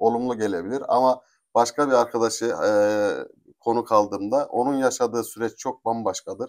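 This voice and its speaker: Fairly quick and with fairly even intonation, a man speaks at medium pitch in an ordinary speaking voice. The recording is very clean, with a silent background. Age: 40s. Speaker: interviewer, channel host. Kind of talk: interview.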